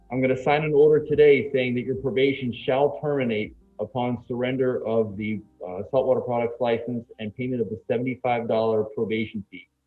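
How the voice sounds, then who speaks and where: Music in the background behind a man's voice, medium in pitch, fairly brisk, with typical pitch movement. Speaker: judge. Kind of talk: court hearing. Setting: courtroom. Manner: soft-spoken.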